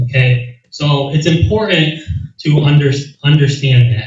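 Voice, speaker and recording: Somewhat breathy speech from a man at medium pitch and moderate pace, with ordinary pitch variation. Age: 30s. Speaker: county legislator and candidate. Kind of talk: candidate forum answer. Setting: community meeting with audience. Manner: animated.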